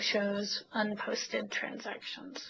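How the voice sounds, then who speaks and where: Somewhat breathy, this woman speaks at a fairly high pitch. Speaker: software trainer. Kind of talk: webinar tutorial.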